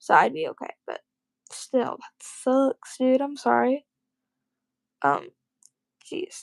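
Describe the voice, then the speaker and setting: A woman speaks at a very slow pace, with long, frequent pauses and big swings in loudness. The sound is dry and close, with no echo. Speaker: livestreamer. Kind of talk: casual chat. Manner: monotone.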